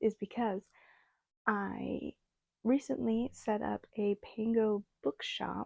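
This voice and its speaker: A soft-spoken, mumbling woman with a dark, mellow tone, fairly high pitch and fairly even intonation, in dry, close sound with no echo. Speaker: booktuber. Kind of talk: casual vlog chat. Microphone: small clip-on microphone, described as bad idea.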